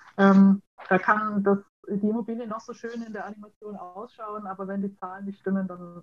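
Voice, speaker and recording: At a fairly quick pace, a woman with a slight Franconian accent speaks in a somewhat breathy, medium-pitched voice with monotone, flat intonation. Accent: slight Franconian, rolled R. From Franconia, Nuremberg. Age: 20s. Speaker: food chemist. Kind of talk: interview.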